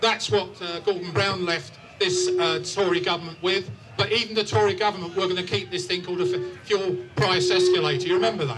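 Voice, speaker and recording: With music in the background, a man speaks at a high pitch. His pace is fairly quick, with ordinary pitch variation. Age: 60s. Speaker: campaign group leader speaking at a rally. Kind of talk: rally speech. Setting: outdoor rally with crowd and PA.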